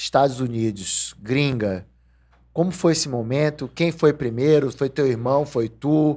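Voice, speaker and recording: A man with a fairly high pitch and a dark, mellow tone speaks at a fairly slow pace, his pitch varying in an ordinary way. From Brazil. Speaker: podcast host. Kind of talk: casual interview. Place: studio. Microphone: studio mic.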